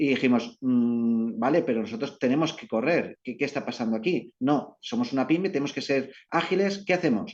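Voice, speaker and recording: Intonation here is lively. There are hardly any pauses. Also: man, medium pitch for a man. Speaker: company representative presenting at business webinar. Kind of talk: presentation. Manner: fast.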